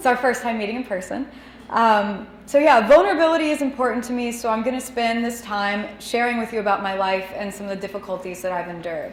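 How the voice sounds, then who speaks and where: With audible room echo and noticeable background noise, a woman at a fairly high pitch speaks at a very fast pace and ordinary pitch variation. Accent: American. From Texas (DeSoto, south of Dallas). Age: 20s. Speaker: cartoonist, editor and designer. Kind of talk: lecture. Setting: stage with audience, microphone and projector. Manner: loud, voice carries.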